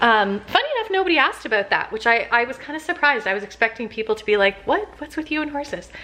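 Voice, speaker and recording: A woman with a Canadian accent, high-pitched, very fast and with hardly any pauses, her pitch swinging very widely, over noticeable background noise. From Canada, Toronto area. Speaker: lifestyle vlogger. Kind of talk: casual vlog chat to camera. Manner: chatty, with many fillers.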